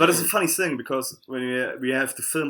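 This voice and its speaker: Here a man speaks with a German accent. His pitch is medium and varies in an ordinary way. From southern Germany, Karlsruhe. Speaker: fingerboarder. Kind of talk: casual podcast interview. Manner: halting.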